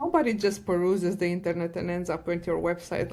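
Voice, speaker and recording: A woman with a non-native accent, medium in pitch, at a fairly quick pace. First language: not English. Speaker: data science director and podcast co-host. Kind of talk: podcast interview. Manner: animated.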